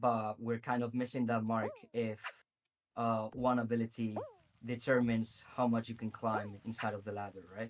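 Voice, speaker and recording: Here a man talks at a moderate pace in a Spanish accent. His pitch sits at a medium level. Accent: Spanish accent, noticeable. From Spain. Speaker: game developer. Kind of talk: interview answers. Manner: hesitant with fillers.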